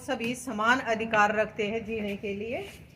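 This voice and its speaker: Audible room echo is present in the recording. The woman's voice is fairly high in pitch. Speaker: lecturer. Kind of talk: lecture. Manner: loud.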